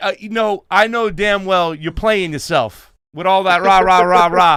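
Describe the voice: A man speaks at a fairly slow pace with a high pitch and ordinary pitch variation. His tone is clear, smooth and fairly bright.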